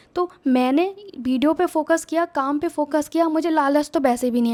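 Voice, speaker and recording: The dry, close sound with no echo carries a woman's high-pitched voice and fairly even intonation. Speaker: YouTuber giving channel-growth advice. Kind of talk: casual vlog tutorial.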